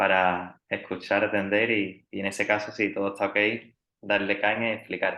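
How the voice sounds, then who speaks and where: In a monotone with flat intonation, a man speaks at a moderate pace and a fairly low pitch. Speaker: triathlon coach. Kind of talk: podcast interview.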